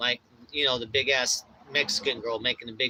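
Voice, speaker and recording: A loud, animated voice. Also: man. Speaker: DJ and livestreamer. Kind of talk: casual livestream chat.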